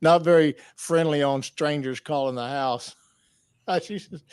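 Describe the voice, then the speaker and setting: A man with a Southern US accent speaks at a moderate pace with ordinary pitch variation, in a very clean recording with a silent background and a dry, close sound with no echo. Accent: Southern twang. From US South. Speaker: podcast host. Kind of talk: interview. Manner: halting.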